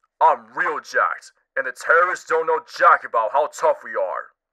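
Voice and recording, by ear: Using a put-on character voice, a man speaks with big pitch swings in a bright, sharp tone. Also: fairly high pitch for a man, moderate pace.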